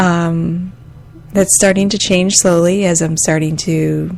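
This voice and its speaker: A woman with an American accent and a very deep, low pitch over noticeable background noise. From Michigan, US Midwest. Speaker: podcaster and massage therapist. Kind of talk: casual monologue. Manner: halting, many fillers; soft-spoken.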